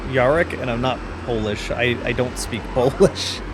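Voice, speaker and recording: A man talks with an American accent. Noticeable background noise and audible room echo fill the recording. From US Pacific Northwest. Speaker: gaming streamer. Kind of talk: live gameplay commentary. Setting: live stream. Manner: casual, chatty.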